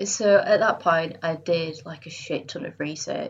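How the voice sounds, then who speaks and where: A woman speaks with a Yorkshire accent. Her pitch is fairly low. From northern England, Bradford. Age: 30s. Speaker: freelance illustrator and graphic designer. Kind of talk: casual interview chat.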